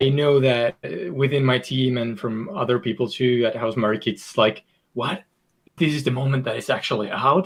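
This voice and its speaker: A man with a Finnish accent, medium pitch and ordinary pitch variation, at a moderate pace. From Finland. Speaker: video game designer. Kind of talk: podcast interview.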